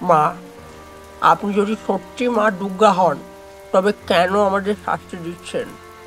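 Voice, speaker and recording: Putting on a shaky character voice, a man speaks at a high pitch and a fairly slow pace with fairly even intonation while clear music plays in the background. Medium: audio drama.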